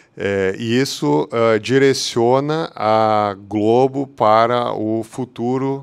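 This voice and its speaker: A man's medium-pitched voice with fairly even intonation over a quiet background. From southern Brazil, Porto Alegre. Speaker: technology executive. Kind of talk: conference talk. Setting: hybrid meetup event. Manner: halting, many fillers.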